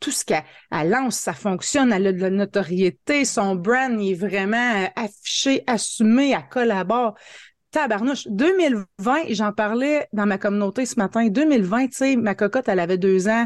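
A woman with an Ontario accent speaks at a fairly slow pace, her pitch fairly high with ordinary variation and an animated tone. The sound is dry and close with no echo, over a quiet background. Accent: Franco-Ontarian French. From northern Ontario, Franco-Ontarian (Hearst). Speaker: marketing coach and entrepreneur. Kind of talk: interview.

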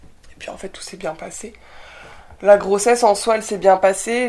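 Monotone, flat intonation marks this woman's medium-pitched voice. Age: 20s. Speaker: young mother and documentary producer. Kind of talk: casual interview chat.

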